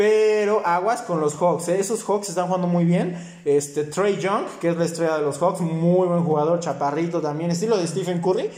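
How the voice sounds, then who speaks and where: Heard with audible room echo and noticeable background noise, a man with a high pitch speaks fairly quickly. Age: 20s. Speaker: sports podcast host. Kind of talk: casual chat.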